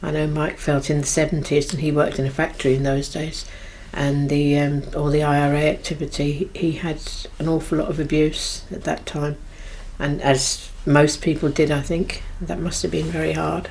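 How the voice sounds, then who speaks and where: A woman speaks with a very deep, low pitch at a moderate pace. Her intonation is monotone and flat, and audible room echo surrounds her voice. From London (Irish community, Willesden). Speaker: Irish community member. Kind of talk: reminiscence interview.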